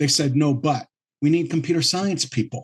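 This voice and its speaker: Speaking at a very fast pace, a man with a fairly high pitch sounds somewhat breathy and keeps his intonation fairly even. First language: French. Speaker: entrepreneur. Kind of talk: interview. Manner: halting, many fillers and repeats.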